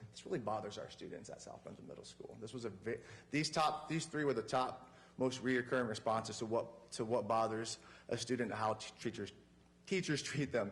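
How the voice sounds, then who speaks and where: Audible room echo surrounds a somewhat breathy man talking at a fairly quick pace. His loudness swings widely while his pitch varies in an ordinary way. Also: medium pitch for a man. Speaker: teacher and coach. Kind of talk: presentation to school board. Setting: public meeting in council chambers. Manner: fast.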